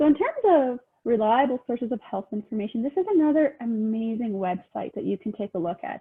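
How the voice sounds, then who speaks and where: A woman talks with lively intonation at a moderate pace. Her pitch is fairly high. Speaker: health information liaison officer. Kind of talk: presentation.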